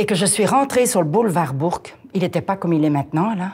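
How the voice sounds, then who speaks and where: The woman's lively intonation comes with a somewhat breathy voice. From Belgium. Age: 60s. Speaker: retiree sharing life story. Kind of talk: interview testimony.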